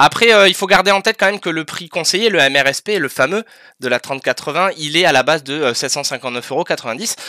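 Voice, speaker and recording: On a very clean recording with a silent background, the words come at a very fast pace. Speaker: podcast co-host presenting tech news. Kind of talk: casual tech news chat. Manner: hesitant, many fillers.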